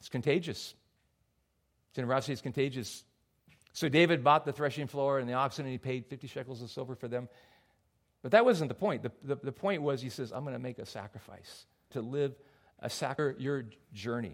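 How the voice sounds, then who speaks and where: A man with a medium pitch talks at a fairly quick pace, with ordinary pitch variation. His loudness swings widely, and he takes long, frequent pauses. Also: very clean recording, silent background. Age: 50s. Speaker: pastor. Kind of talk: sermon.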